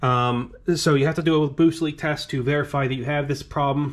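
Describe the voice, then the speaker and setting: The man's pitch rises and falls in an ordinary way. He talks fairly quickly. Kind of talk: tutorial. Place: garage. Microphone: phone near.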